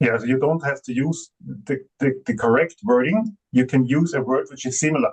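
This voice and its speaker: Speaking at a fairly quick pace with a non-native accent, a man with a fairly high, somewhat breathy voice uses ordinary pitch variation in a dry, close sound with no echo. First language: not English. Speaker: AI software company representative. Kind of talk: conference panel discussion. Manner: halting, many fillers.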